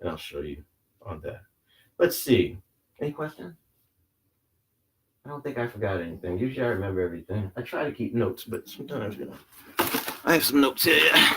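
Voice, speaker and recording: Talking at a fairly quick pace, a man with a fairly low pitch has a bright, sharp tone and very wide pitch swings. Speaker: CPR instructor. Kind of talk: training class demonstration. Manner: fast.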